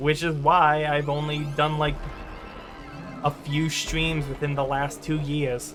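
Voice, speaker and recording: A man's voice with music in the background. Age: 18. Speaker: gaming streamer. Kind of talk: live stream gameplay chat. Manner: stuttering over words; halting, filler-heavy.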